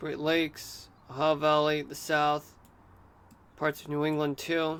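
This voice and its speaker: Speaking at a fairly slow pace, a man with a fairly high pitch keeps a monotone, flat intonation. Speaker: streamer giving weather discussion. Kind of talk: live stream weather commentary. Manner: subdued, altered delivery.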